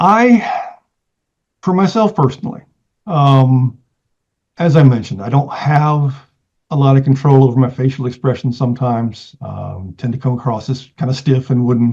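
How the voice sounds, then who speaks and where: Speaking at a moderate pace with long, frequent pauses, a man's somewhat breathy voice sits at medium pitch with ordinary pitch variation. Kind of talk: interview. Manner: halting, many fillers.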